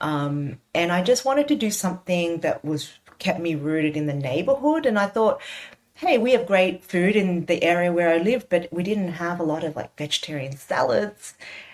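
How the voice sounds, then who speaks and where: With an Australian accent and lively intonation, a woman speaks at a moderate pace and a fairly low pitch. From Sydney, Australia. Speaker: cookbook author. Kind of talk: interview conversation. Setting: video call.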